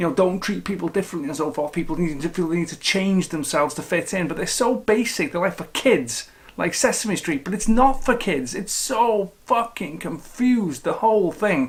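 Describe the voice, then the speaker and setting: A man talks at a high pitch with lively intonation and hardly any pauses. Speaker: film critic. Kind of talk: film review vlog. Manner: fast.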